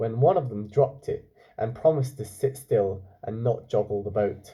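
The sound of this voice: A man speaks with a dark, mellow tone. His intonation is lively.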